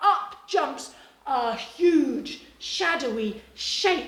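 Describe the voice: Growling in an extremely high put-on character voice, a woman speaks at a very slow pace with a slight echo.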